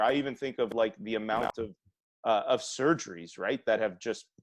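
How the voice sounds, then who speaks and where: In a dry, close recording with no echo, a man with an unremarkable speaking voice talks at a moderate pace and a medium pitch. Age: 30s. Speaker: health practitioner and podcast host. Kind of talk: casual interview chat.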